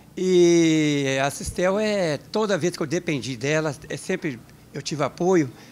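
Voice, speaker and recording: This man talks fairly slowly. His voice sits fairly high, with ordinary pitch variation. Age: 60s. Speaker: retired telecom worker, accordion player. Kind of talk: interview testimony. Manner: halting, with repeated filler words. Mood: content, warm. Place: home room. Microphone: handheld.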